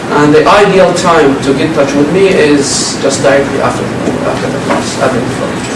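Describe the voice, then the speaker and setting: There is noticeable background noise as the speaker, with an Arabic accent, talks at a moderate pace with ordinary pitch variation. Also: man, fairly high pitch for a man. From Jordan. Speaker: university instructor. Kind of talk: lecture. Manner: halting, many fillers.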